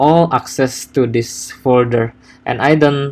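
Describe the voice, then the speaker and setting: Very slowly, a man with a medium-pitched voice speaks with a non-native accent. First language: not English. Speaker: software developer. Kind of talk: coding tutorial. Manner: halting, many fillers and repetitions.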